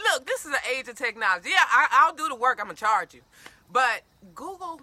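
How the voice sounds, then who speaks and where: An animated, raised and projected woman's voice, high-pitched, bright and sharp, in an American accent, with very wide pitch swings, big swings in loudness and a fairly quick pace. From Detroit, Michigan. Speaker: detox and wellness coach. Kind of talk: casual interview. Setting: Facebook live stream on location. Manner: fast.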